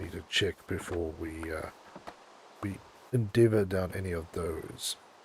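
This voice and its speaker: Somewhat breathy and very deep, low in pitch, a man's voice keeps a fairly even intonation. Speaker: gaming streamer. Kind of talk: live gameplay stream chat. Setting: livestream. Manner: casual, hesitant with fillers.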